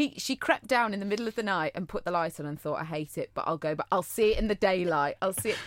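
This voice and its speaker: A woman with a Cheshire accent talks at a very fast pace in a medium pitch, her tone animated and her intonation lively. The recording is very clean with a silent background and a dry, close sound with no echo. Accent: northern English (Cheshire). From Cheshire, northern England. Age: 30s. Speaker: podcast co-host. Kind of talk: casual chat.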